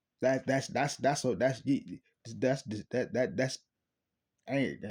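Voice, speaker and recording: A man puts on a raspy character voice at a medium pitch, with ordinary pitch variation. He speaks at a fairly slow pace with very even loudness. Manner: stuttering, halting.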